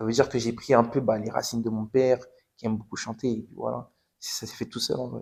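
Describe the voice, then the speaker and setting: Flat, monotone intonation from a man at a medium pitch. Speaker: footballer giving testimony. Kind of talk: testimony. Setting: podcast interview. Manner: casual, repetitive.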